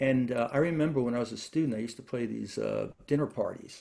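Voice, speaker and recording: A man with a New York accent, very fast, medium in pitch, dark and mellow in tone. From New York, Brooklyn. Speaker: classical guitarist and lutenist. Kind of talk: interview. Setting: video call. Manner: halting.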